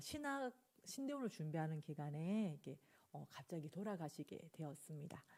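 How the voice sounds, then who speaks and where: Speaking in a Busan accent, a woman has a fairly low pitch and a dark, mellow tone. She goes at a fairly slow pace. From South Korea, Busan. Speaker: pastor. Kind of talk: sermon. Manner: hesitant, filler-laden.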